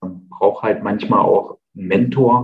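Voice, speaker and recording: Music plays in the background while a man talks at a fairly slow pace. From Thuringia, Eichsfeld. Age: 40s. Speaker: field sales rep, coaching client. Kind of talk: testimonial interview. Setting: video call. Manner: halting, many fillers.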